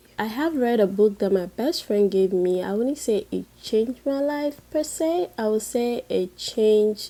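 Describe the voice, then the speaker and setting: A woman with a Ghanaian accent speaks at a fairly slow pace with hardly any pauses, her fairly high voice dark and mellow in tone and lively in intonation. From Ghana, Volta region. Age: 20s. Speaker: beauty and lifestyle youtuber. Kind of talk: casual vlog Q&A. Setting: in bed, late at night.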